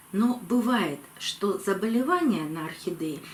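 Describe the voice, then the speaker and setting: Noticeable background noise runs under this woman's voice. She speaks at a fairly high pitch with very wide pitch swings. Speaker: orchid-care video blogger. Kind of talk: tutorial. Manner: slow.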